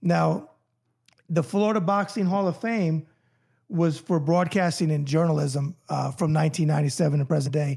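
A man with a New York accent and a dark, mellow tone talks at a fairly slow pace in a fairly high pitch. His loudness is very even, his pitch variation ordinary, and the recording very clean with a silent background. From New York (New Rochelle), later Miami Beach. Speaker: author and boxing journalist. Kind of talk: casual interview chat. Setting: studio.

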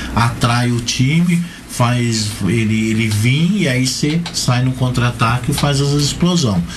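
Through noticeable background noise and audible room echo, a man's medium-pitched voice carries lively intonation. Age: 50s. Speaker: amputee football player and organizer. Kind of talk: radio interview.

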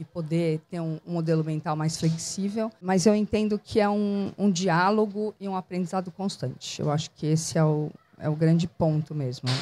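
A woman speaks at a moderate pace in a fairly low pitch, with a dark, mellow tone, ordinary pitch variation, and dry, close sound with no echo. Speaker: cultural producer and entrepreneur. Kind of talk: casual interview. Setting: outdoors in a public square bandstand.

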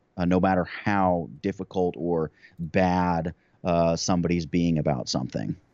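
Very deep and low, a man's voice holds very even loudness and fairly even intonation. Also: moderate pace. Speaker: YouTube creator. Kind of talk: interview conversation.

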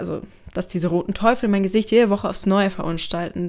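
A woman's voice at a medium pitch. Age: 20s. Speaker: student doing a self-experiment audio diary. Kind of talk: audio diary narration. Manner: animated.

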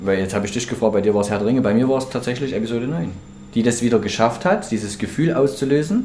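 Through noticeable background noise and audible room echo, a man with a medium pitch and ordinary pitch variation talks at a very fast pace. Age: 30s. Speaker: podcast co-host. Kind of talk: casual chat.

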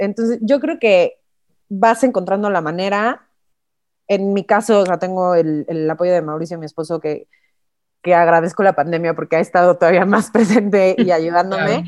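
A plain, everyday voice from a woman, moderate in pace and medium in pitch, its pitch variation ordinary. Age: 30s. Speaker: finance administrator and mother. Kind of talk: casual chat.

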